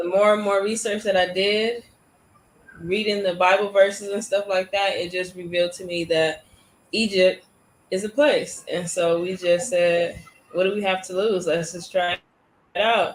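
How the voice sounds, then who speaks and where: A woman with an American accent speaks in a plain, everyday voice at medium pitch, with fairly even intonation and a moderate pace. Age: 20s. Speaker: YouTuber. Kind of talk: interview. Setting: live stream.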